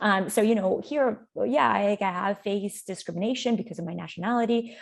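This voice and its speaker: This woman's voice is somewhat breathy. She talks fairly quickly. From Canada, raised after emigrating from Colombia. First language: Spanish. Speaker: youth workshop facilitator. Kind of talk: webinar presentation. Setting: online webinar.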